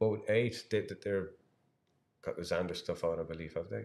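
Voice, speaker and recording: A man with an Irish accent at a moderate pace. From Ireland. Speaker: angler and live-stream commentator. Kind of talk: live commentary. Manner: halting, many repeated words.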